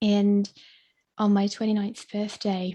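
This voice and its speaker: A woman speaks in a dark, mellow, somewhat breathy tone at a moderate pace. Her intonation is monotone and flat on a very clean recording with a silent background. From Australia. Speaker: spiritual coach. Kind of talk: interview.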